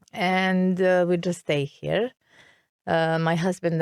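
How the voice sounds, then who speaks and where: A woman with a Serbian accent speaks at a fairly low pitch and fairly slow pace in a very clean, silent, dry and close recording with no echo. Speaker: expat interviewee. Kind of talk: interview. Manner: halting.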